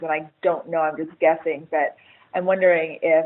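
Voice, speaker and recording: With an American accent, a woman talks at a fairly quick pace in a fairly low pitch, her intonation monotone and flat. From United States. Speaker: HR writer. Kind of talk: webinar panel discussion. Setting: webinar.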